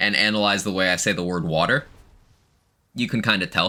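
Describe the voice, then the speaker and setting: A man with a very deep, low pitch and a bright, sharp tone speaks at a moderate pace in a slight New England accent. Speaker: gaming streamer. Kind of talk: live-stream chat while gaming. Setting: live stream.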